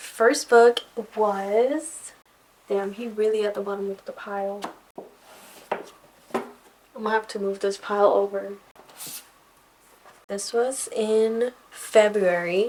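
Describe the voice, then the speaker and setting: Amid noticeable background noise, a woman with a fairly high pitch talks at a very slow pace, leaving long, frequent pauses. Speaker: book reviewer. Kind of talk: casual talk to camera. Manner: enthusiastic.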